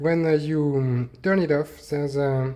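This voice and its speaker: With a French accent, a man talks at a fairly slow pace, his voice fairly high-pitched, somewhat breathy, dark and mellow in tone, with fairly even intonation. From France. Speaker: hobbyist maker. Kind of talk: tutorial. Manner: halting.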